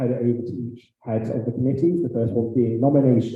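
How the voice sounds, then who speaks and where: A man is speaking. Audible room echo is present. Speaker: graduate student council president. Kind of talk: meeting chairing.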